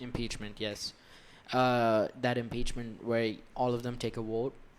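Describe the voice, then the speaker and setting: Speaking in a monotone, flat intonation, a man with an American accent goes at a fairly slow pace. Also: medium pitch for a man. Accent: neither American nor Indian. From India. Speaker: podcast co-host. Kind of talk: casual chat.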